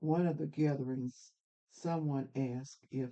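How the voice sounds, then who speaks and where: A woman speaks at a moderate pace with a very deep, low pitch and a dark, mellow tone. Her pitch shows ordinary variation. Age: 80s+. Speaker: family elder. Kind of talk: testimony. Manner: halting.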